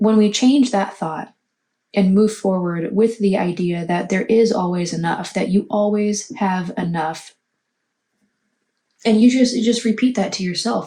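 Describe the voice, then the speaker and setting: Quiet and somewhat breathy, a woman talks at a fairly slow pace with a medium pitch, ordinary pitch variation and a dark, mellow tone. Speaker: tarot reader. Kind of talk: tarot reading monologue. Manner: quiet, hushed.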